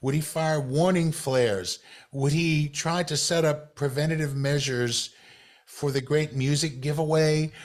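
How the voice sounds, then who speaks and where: At a fairly slow pace, a man with an American accent talks in an ordinary speaking voice, fairly high in pitch. His loudness stays very even and his intonation fairly even. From US South. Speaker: podcast host. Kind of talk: interview.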